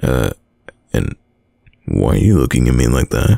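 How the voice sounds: In a put-on character voice, a man speaks at an extremely low pitch with a dark, mellow tone, vocal fry and big pitch swings. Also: fairly slow pace.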